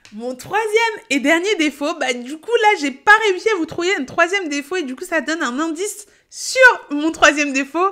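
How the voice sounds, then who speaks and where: With an extremely high pitch and a bright, sharp tone, a woman speaks in a raised, projected voice at a moderate pace, her intonation lively and her tone animated. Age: 30s. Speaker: payroll educator and content creator. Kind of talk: casual vlog monologue. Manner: loud.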